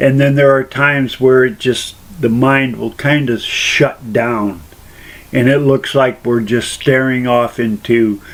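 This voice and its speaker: Noticeable background noise runs under a man who speaks at a very slow pace with ordinary pitch variation. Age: adult. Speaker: person sharing personal experience. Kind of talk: personal testimony monologue. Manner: rambling, repetitive phrasing.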